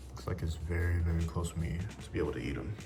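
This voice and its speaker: A soft-spoken man with a very deep, low pitch is heard with audible room echo and noticeable background noise. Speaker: travel vlogger. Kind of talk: casual vlog talk. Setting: in a car. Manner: quiet, reserved.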